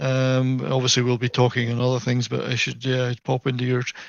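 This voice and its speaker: At a fairly quick pace, a man with a Scottish accent talks at a medium pitch. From Scotland, near Edinburgh. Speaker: gaming video creator. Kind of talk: casual chat.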